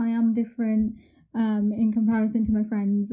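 Somewhat breathy, dark, mellow delivery with monotone, flat intonation. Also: woman. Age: 20s. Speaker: university student, wheelchair user. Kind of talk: casual interview chat. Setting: virtual studio, remote call.

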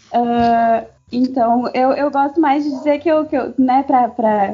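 A woman speaks at a high pitch. Her pace is fairly slow and her pitch variation is ordinary. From southern Brazil. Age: 20s. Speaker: podcast guest, international relations graduate. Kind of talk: casual chat.

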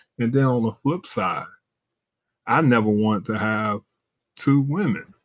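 A man speaks at medium pitch with ordinary pitch variation. The sound is dry and close, with no echo. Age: 50s. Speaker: podcast host. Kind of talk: casual monologue. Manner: casual, with many fillers.

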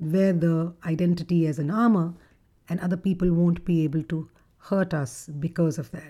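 A woman speaks at a moderate pace. Her tone is dark and mellow.

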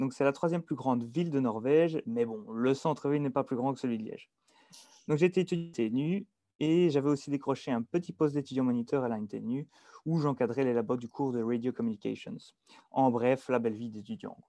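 Speaking fairly quickly at a medium pitch, a man with a Belgian accent and a dark, mellow tone is heard against a quiet background. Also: ordinary pitch variation. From Belgium, Dinant area (Wallonia). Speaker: engineering student. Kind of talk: casual interview.

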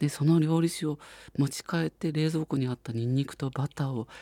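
A man's fairly high, somewhat breathy voice with a dark, mellow tone, at a fairly quick pace, dry and close with no echo. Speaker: radio host. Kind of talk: radio show talk.

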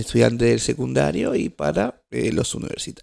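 With an Argentine accent, a man speaks in vocal fry while his pitch swings very widely. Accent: Rioplatense Argentine Spanish. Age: 20s. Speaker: podcast host. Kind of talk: casual solo monologue. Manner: halting, many fillers and restarts.

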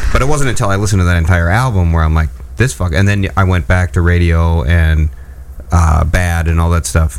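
A man with a very deep, low pitch speaks at a fairly quick pace, with ordinary pitch variation and very even loudness, over noticeable background noise. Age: 40s. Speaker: radio co-host. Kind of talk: casual chat.

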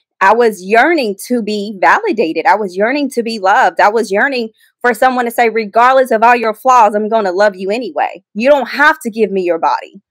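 Fairly quick and fairly high-pitched, a woman speaks in a plain, everyday voice in a very clean recording with a silent background. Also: ordinary pitch variation. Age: 30s. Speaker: ministry founder. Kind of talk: testimony.

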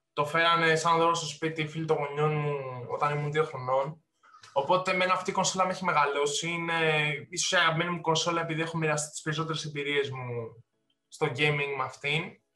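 A man with a fairly high pitch talks at a fairly quick pace with fairly even intonation, in an ordinary speaking voice. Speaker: podcast co-host. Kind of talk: casual chat.

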